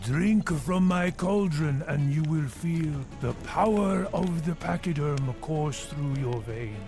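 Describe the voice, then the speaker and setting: Over loud music in the background, a man uses a cartoonish character voice, fairly high in pitch, at a fairly slow pace. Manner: sly, theatrical.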